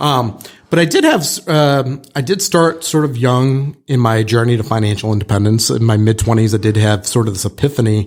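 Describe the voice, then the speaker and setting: A man talks in a normal speaking voice at medium pitch with ordinary pitch variation. His pace is fairly quick, with hardly any pauses. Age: middle-aged. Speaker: real estate broker and podcast host. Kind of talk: casual podcast chat.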